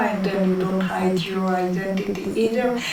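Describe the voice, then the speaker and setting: A voice with a strong Israeli accent and ordinary pitch variation comes through audible room echo and noticeable background noise. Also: woman. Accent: heavy Israeli accent in English. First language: Hebrew. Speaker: interviewee in documentary. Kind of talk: interview. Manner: hesitant, many fillers.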